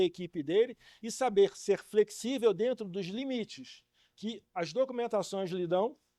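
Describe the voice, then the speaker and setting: The recording is very clean with a silent background. The sound is dry and close with no echo, and the pitch varies in an ordinary way. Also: man. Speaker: welding training speaker. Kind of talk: lecture. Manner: fast.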